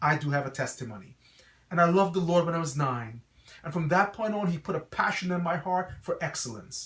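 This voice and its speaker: Amid noticeable background noise, a man with an American accent speaks with high pitch. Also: ordinary pitch variation, fairly quick pace. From Guyana, then New York City (Brooklyn). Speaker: pastor and school principal. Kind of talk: promotional address to parents. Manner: earnest, preacher-like.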